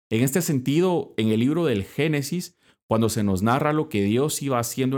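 An ordinary speaking voice from a man, moderate pace and lively intonation, on a very clean recording with a silent background. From Guatemala. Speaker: Dominican friar and podcast host. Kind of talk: religious reflection podcast.

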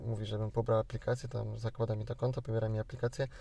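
The voice has a dark, mellow tone and is somewhat breathy. Its intonation stays monotone and flat. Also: man. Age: 20s. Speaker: podcast host. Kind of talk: casual chat. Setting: in a car.

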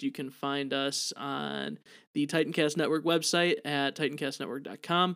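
At a moderate pace, the talking comes through on a very clean recording against a silent background. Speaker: podcast co-host. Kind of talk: casual chat. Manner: animated.

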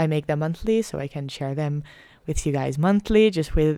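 On a very clean recording with a silent background, a woman with a dark, mellow tone and fairly low pitch speaks at a fairly quick pace with ordinary pitch variation. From Netherlands. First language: Dutch. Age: 20s. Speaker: podcaster, medical student. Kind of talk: casual monologue.

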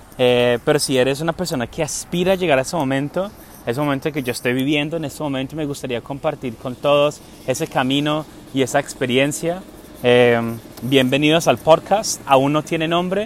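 Over noticeable background noise, a man talks at a fairly quick pace and a fairly high pitch with ordinary pitch variation. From England. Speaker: podcast host and entrepreneur. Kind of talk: casual monologue. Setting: outdoors. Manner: hesitant, with many fillers.

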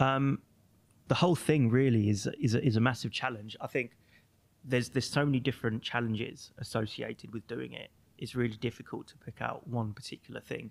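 An ordinary speaking voice from a man at medium pitch, fairly quick in pace, with fairly even intonation and big swings in loudness. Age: 30s. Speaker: magazine owner. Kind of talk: casual chat. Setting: studio.

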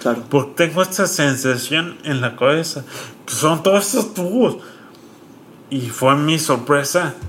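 A man's fairly high voice, lively intonation, a fairly slow pace with long, frequent pauses, and noticeable background noise. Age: 30s. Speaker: content creator and stroke survivor. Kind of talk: casual interview.

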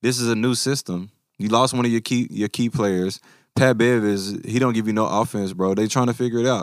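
Speech in a Memphis accent moves at a fairly quick pace with fairly even intonation. The recording is very clean, with a silent background. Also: man, medium pitch for a man. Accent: Southern US (Memphis). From US South, Memphis. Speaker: basketball podcast co-host. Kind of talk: casual chat.

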